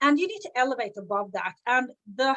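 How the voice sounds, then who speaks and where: A woman's high, bright, sharp voice at a moderate pace, dry and close with no echo. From Sweden. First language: Swedish. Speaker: business coach. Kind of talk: live stream talk. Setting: live video stream.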